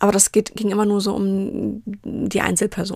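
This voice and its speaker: On a very clean recording with a silent background and a dry, close sound with no echo, a woman talks at a moderate pace with a medium pitch in an unremarkable speaking voice. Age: 30s. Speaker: podcast host and business coach. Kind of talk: solo podcast monologue.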